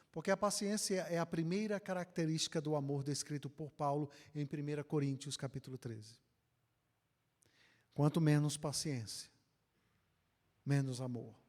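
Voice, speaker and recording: A man with a northeastern Brazilian accent and a fairly high pitch, moderate pace, ordinary pitch variation, long and frequent pauses, on a very clean recording with a silent background. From Northeast Brazil, Ceará. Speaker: pastor. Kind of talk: conference lecture.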